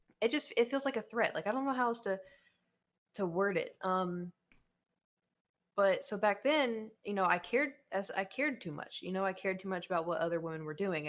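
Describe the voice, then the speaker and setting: A woman with a slight Oklahoma accent speaks with lively intonation. The recording is very clean, with a silent background. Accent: Oklahoma accent, slight twang. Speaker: YouTuber and streamer. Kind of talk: casual chat. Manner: hesitant, many fillers.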